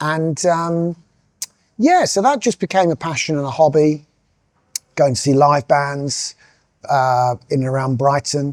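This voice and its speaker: A man speaks with a southern English accent at a moderate pace. His pitch is fairly high with ordinary variation, and the sound is dry and close with no echo. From southern England, Sussex coast. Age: 50s. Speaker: music industry executive. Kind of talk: interview monologue. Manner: hesitant, with fillers.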